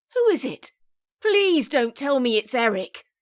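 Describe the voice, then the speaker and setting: In an RP accent, a woman talks at a fairly slow pace with lively intonation, the sound dry and close with no echo. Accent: RP British English. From England. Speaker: audiobook narrator. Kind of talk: audiobook narration.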